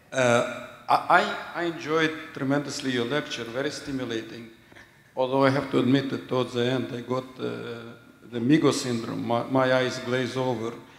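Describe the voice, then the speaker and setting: A man speaks in a monotone, flat intonation amid noticeable background noise and audible room echo. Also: medium pitch for a man, moderate pace. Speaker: audience member asking question. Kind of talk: audience question.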